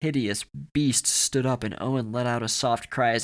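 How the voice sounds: Fairly even intonation in a natural reading voice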